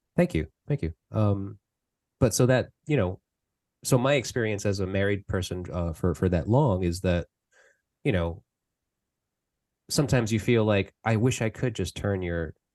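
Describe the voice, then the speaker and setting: At a moderate pace, a man talks with ordinary pitch variation and long, frequent pauses, the sound dry and close with no echo over a quiet background. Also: fairly low pitch for a man. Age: 40s. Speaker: podcast host. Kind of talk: casual interview. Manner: halting, many fillers.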